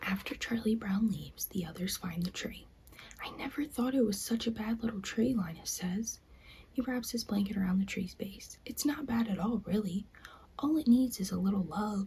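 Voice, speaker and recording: Soft-spoken whispering moves along at a moderate pace. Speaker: ASMR creator. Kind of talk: reading aloud.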